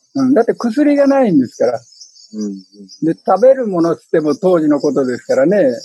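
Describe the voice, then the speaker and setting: This man speaks at a fairly quick pace with a high pitch and very wide pitch swings. His tone is dark and mellow, in a dry, close sound with no echo. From Fukuyama, Hiroshima, Japan. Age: 80s+. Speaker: author and wartime Manchuria survivor.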